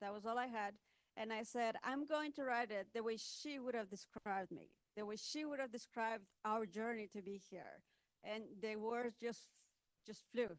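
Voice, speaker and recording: Ordinary pitch variation runs through a woman's speech, fairly high in pitch, at a moderate pace. She talks with a non-native accent. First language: not English. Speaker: author and technology speaker. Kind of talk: panel talk at book launch. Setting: event with audience. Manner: halting.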